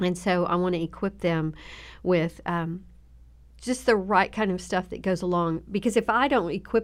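A woman speaks in a Southern US accent at a medium pitch. The recording is very clean, with a silent background. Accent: Southern drawl, slight twang. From Southern Oklahoma. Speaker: children's ministry leader. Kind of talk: casual interview chat. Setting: podcast studio.

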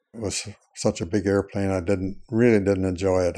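A man with an American accent, very deep and low in pitch, dark and mellow in tone, in a very clean recording with a silent background. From US Midwest, southern Indiana farm. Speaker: WWII era Air Force veteran and retired pilot. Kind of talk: elderly veteran's unhurried first-person life story, recorded interview. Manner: slow and meandering, frequent uh fillers; halting with repeated words and self-corrections.

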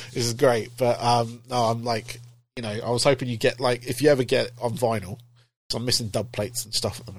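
Speaking very fast in a flat monotone, a man's medium-pitched voice sounds somewhat breathy. His loudness swings widely. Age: 40s. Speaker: podcast host. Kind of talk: casual interview chat.

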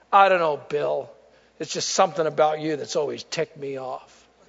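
A man puts on a booming character voice with a fairly high pitch. He delivers it in a deadpan tone at a fairly quick pace. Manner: booming, thundering, deadpan.

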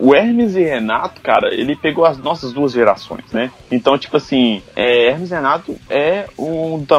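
Noticeable background noise accompanies a man with a fairly high pitch who talks at a moderate pace with lively intonation and hardly any pauses. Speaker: podcast host. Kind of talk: casual chat.

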